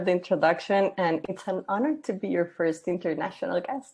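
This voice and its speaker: A woman speaks with a Costa Rican accent. Her pace is fairly quick. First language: Spanish. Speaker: gender equality consultant. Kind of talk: interview.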